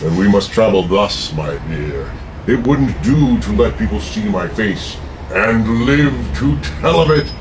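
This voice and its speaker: A man's put-on character voice, fairly low in pitch and fairly slow, over loud background noise. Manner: menacing, theatrical.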